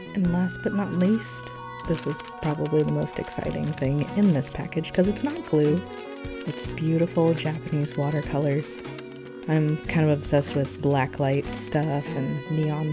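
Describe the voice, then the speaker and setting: A woman with a very deep, low pitch and ordinary pitch variation at a moderate pace, music in the background. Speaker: yarn shop owner. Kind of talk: gentle narrated unboxing. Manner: gentle, calm.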